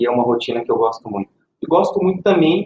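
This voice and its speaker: A man with lively intonation. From Minas Gerais, Brazil; raised in Ribeirão Preto, São Paulo. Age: 30s. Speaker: IT specialist. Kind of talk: podcast panel self-introduction.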